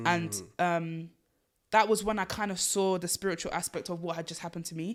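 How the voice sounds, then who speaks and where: A woman with an unremarkable speaking voice talks at a fairly low pitch with ordinary pitch variation. Her loudness swings widely in a very clean recording with a silent background. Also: fairly quick pace. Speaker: spoken word poet. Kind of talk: interview answer.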